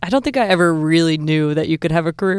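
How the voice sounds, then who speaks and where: Fairly low in pitch with ordinary pitch variation, a woman with an American accent speaks in a plain, everyday voice. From Southern Illinois. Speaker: sports media executive. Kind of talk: interview.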